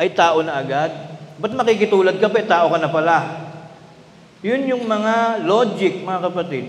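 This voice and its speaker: Loud and high-pitched, a man speaks at a moderate pace with ordinary pitch variation and long, frequent pauses in a room with audible echo. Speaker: preacher. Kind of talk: sermon. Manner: loud, raised voice; energetic.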